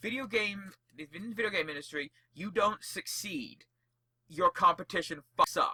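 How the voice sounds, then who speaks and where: A man's raised, projected voice has a high pitch, a bright, sharp tone and an animated tone, with big swings in loudness and a dry, close sound with no echo. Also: ordinary pitch variation, moderate pace. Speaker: podcast co-host. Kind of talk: casual chat.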